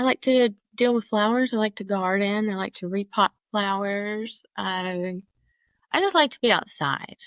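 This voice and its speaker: In a dry, close sound with no echo, a woman speaks with a Southern US accent at a medium pitch and with ordinary pitch variation. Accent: Southern US (Georgia). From Georgia, Atlanta area (US South). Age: 30s. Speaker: cancer survivor and advocate. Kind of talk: interview.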